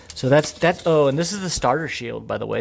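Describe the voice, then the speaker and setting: Very fast speech over noticeable background noise. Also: man. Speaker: car owner vlogger. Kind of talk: casual rant. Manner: repetitive, halting.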